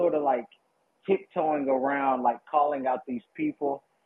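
Fairly even intonation from a man with an American accent. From US South, Kentucky. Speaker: caller, former local candidate. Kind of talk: call-in discussion.

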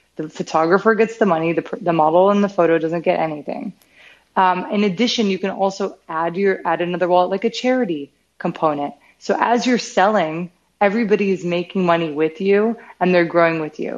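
With an American accent, a woman with an unremarkable speaking voice talks at a fairly quick pace, her medium pitch showing ordinary variation. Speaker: startup CEO and founder. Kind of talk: interview.

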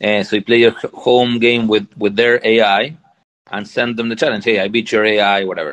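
This man's voice sits at a medium pitch. He keeps a moderate pace with fairly even intonation. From Argentina. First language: Spanish. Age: 40s. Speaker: tech company founder. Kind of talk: interview.

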